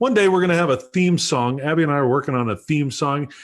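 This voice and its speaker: The speaker is a man whose voice sits fairly high in pitch. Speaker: pastor and livestream show host. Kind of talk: casual chat. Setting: livestream video call. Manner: loud.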